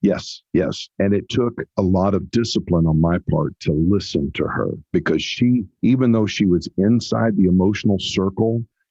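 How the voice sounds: A man speaks at a low pitch with a slightly husky edge. His pace is fairly slow and his pitch variation ordinary.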